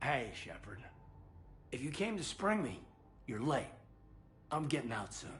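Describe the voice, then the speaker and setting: In a put-on character voice, a man speaks raspily at a fairly high pitch and moderate pace. He leaves long, frequent pauses over clear background noise. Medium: video game. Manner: calm, modest.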